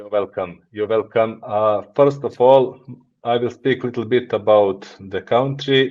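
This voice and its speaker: A man with a Montenegrin accent speaks fairly slowly at medium pitch. His intonation is fairly even, though his loudness swings widely. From Montenegro. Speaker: business executive. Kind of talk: podcast interview. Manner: halting.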